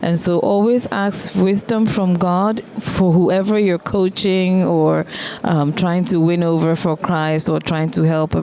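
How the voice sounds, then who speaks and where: With a Ghanaian accent, a woman speaks at a moderate pace and a fairly low pitch. Noticeable background noise can be heard. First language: Twi. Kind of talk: interview.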